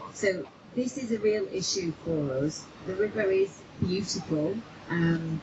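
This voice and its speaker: With ordinary pitch variation, a woman talks at a fairly slow pace against noticeable background noise. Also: medium pitch for a woman. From Manchester, northern England. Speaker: river campaign group organiser. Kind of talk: public speech. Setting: outdoors by a river.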